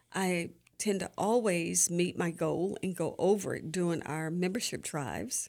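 A woman with an American accent and a normal speaking voice talks fairly slowly at a fairly low pitch with ordinary pitch variation, in a very clean recording with a silent background. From Florida, Sarasota. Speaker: nurse and gospel radio host. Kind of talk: interview. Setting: radio studio.

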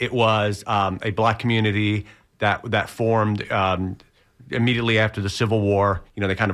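A man talks at a fairly quick pace in a fairly low pitch. It is an ordinary speaking voice. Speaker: journalist. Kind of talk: radio interview. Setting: radio studio.

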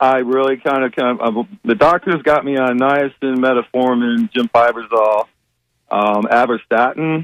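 In an ordinary speaking voice with an American accent, a man talks at a moderate pace with a medium pitch and ordinary pitch variation. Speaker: caller. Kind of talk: casual phone call with a health question. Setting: phone call.

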